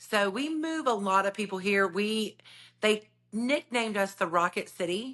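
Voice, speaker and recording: A woman with a Southern US accent talks at a moderate pace in a medium pitch, her tone animated, bright and sharp, with lively intonation against a quiet background. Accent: Southern twang. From US South, north Alabama (Decatur). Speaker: realtor. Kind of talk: podcast interview.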